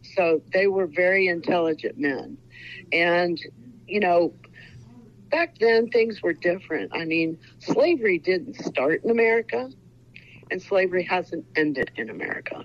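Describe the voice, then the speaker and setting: A woman with a Midwestern US accent, medium-pitched, at a moderate pace, with lively intonation and long, frequent pauses. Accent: US Midwest. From Ohio. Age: 60s. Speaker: author. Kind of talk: interview.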